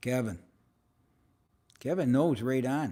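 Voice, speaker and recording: A man's fairly high pitch on a very clean recording with a silent background. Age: 70s. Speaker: motivational live-stream host and mentor. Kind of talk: casual live-stream chat reading viewer comments. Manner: conversational, with fillers and hesitations.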